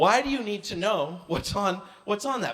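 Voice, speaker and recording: Against noticeable background noise, a man with an American accent talks at a moderate pace in a high pitch with very wide pitch swings. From Maine, US. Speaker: comedian. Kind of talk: stand-up.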